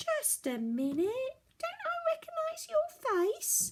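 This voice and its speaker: A woman does a put-on character voice, squeaky and extremely high, delivered at a fairly slow pace. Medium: read story. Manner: curious.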